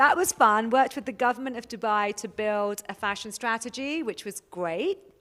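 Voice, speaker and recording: With a bright, sharp tone, a woman speaks at a moderate pace in a fairly high pitch with ordinary variation. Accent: London. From England, London. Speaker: fashion consultant. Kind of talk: interview. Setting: studio by the beach, with webcam. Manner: animated.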